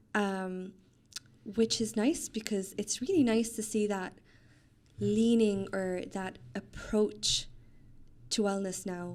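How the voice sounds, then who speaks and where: Her tone is calm as this woman speaks in a medium-pitched voice. The pitch varies in an ordinary way. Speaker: trainee doctor and pilates instructor. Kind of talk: casual interview chat.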